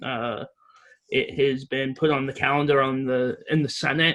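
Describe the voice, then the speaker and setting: Speaking with a slight English accent, a man keeps a moderate pace. His fairly high pitch stays monotone and flat. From Reading, England. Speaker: advocate presenting a resolution to town officials. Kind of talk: presentation at town meeting. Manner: halting, many fillers.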